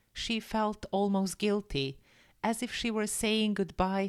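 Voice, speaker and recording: It is a woman with a plain, everyday voice and ordinary pitch variation. The recording is very clean, with a silent background. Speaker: English teacher. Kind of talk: story reading for English learners. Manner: gentle, clear.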